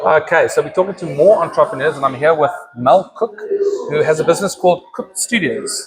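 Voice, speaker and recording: A man speaks fairly quickly. Noticeable noise can be heard behind him. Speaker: talk show host and community organisation director. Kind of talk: casual interview. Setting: business hub, handheld camera. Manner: loud.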